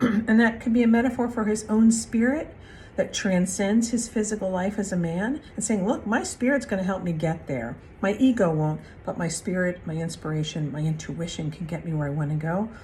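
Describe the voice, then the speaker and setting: A woman talks at a fairly quick pace with lively intonation. Her tone is dark and mellow, and somewhat breathy. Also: medium pitch for a woman. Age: 60s. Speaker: spiritual card reader. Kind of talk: spiritual reflection monologue. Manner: casual, with frequent fillers.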